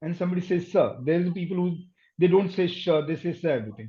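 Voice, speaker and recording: In an Indian accent, a man speaks with a high pitch. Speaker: accent and dialect coach. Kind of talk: interview conversation.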